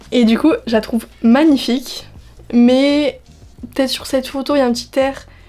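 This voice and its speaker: Monotone, flat speech at a moderate pace with noticeable background noise. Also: woman. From French Basque Country. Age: 20s. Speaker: beauty and lifestyle youtuber. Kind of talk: casual vlog reaction. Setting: outdoors in the sun. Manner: casual, hesitant with fillers.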